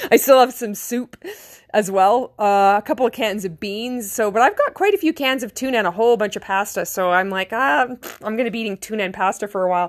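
At a very fast pace, a woman with a Canadian accent speaks at a fairly high pitch with ordinary pitch variation in a very clean recording with a silent background. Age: 40s. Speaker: vlogger. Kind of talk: personal monologue. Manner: halting.

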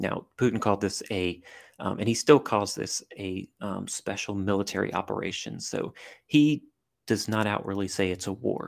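Speaking at a moderate pace in an American accent, a man uses a fairly low pitch with vocal fry and ordinary pitch variation. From US South, southern Louisiana (Cajun country). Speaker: army veteran and intelligence analyst. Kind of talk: casual interview. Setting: remote call.

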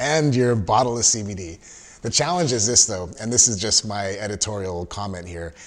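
With an American accent and a plain, everyday voice, a man speaks at a moderate pace with hardly any pauses, a fairly low pitch and lively intonation. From Southern California. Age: 50s. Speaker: podcast host, registered nurse. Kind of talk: casual interview.

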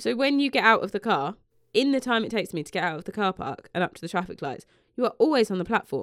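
A woman with a British accent speaks at a very fast pace and fairly high pitch, with vocal fry. Her voice has very wide pitch swings and big swings in loudness on a very clean recording with a silent background. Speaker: podcast host. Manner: sarcastic.

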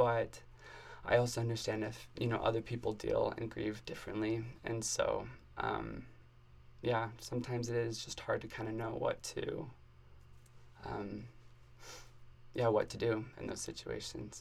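Speaking at a moderate pace with an American accent, a man leaves long, frequent pauses. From Arizona. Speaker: university student. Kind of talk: personal testimony in interview. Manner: halting, many fillers.

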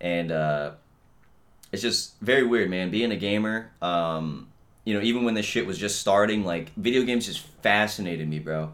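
Ordinary pitch variation and a fairly low pitch from a man with an ordinary speaking voice at a moderate pace. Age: 20s. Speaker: podcast host. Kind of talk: casual monologue. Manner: casual, rambling with fillers.

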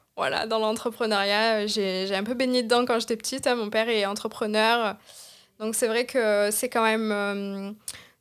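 A woman speaks in a fairly high pitch with monotone, flat intonation. The recording is very clean, with a silent background. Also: fairly slow pace. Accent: Marseille. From Marseille, southern France. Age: 20s. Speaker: social media consultant, entrepreneur. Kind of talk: interview.

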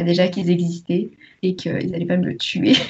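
This woman's voice is somewhat breathy and medium in pitch. She speaks at a moderate pace. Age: 20s. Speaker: history student and book youtuber. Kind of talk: casual chat.

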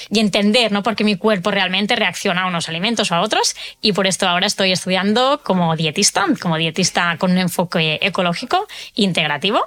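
A woman has a plain, everyday voice at a medium pitch. She moves at a fairly quick pace with ordinary pitch variation. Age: 30s. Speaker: nutrition coach for people with autoimmune disease. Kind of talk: interview testimony.

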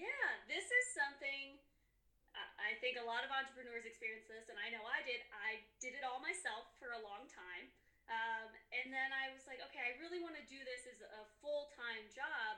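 A woman with an American accent speaks in a high pitch with a raised, projected voice. Her loudness swings widely, and room echo is audible. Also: ordinary pitch variation, moderate pace. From US Midwest, Chicago area. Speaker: graphic designer. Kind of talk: interview.

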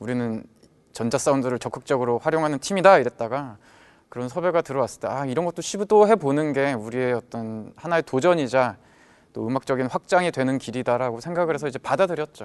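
A man speaks very fast at a medium pitch with lively intonation. The sound is dry and close, with no echo. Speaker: band leader and guitarist. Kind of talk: casual chat.

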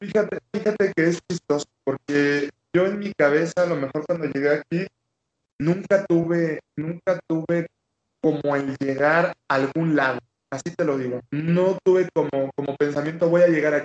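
This man talks at a moderate pace with ordinary pitch variation. His pitch sits fairly high. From Mexican Caribbean (Quintana Roo). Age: 20s. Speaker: Olympic taekwondo athlete. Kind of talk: interview. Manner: repetitive, halting restarts.

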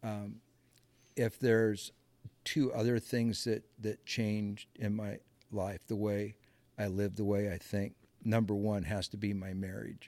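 Speaking fairly slowly with long, frequent pauses, a man with a Midwestern American accent keeps a monotone, flat intonation in a fairly low voice with a dark, mellow tone. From US Midwest (Muscatine, Iowa). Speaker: navy veteran, horse trainer. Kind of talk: casual interview.

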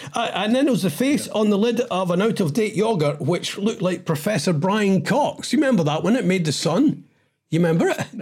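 In a Scottish accent, a man speaks at a fairly quick pace with a high pitch. His intonation is lively, and the recording is very clean with a silent background. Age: 60s. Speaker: podcast co-host. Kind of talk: casual chat. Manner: animated.

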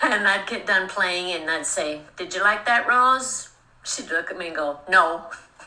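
A woman with an American accent speaks at a fairly slow pace, her medium-pitched voice showing lively intonation and big swings in loudness. Audible room echo and noticeable background noise fill the recording. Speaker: podcast host. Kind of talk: casual chat.

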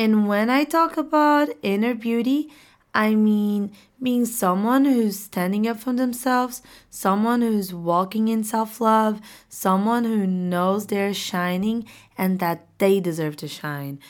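A woman with a Portuguese accent, a fairly high pitch and a very slow pace, in a very clean recording with a silent background. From Portugal. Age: 20s. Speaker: podcast host. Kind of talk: casual monologue; motivational pep talk. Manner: animated.

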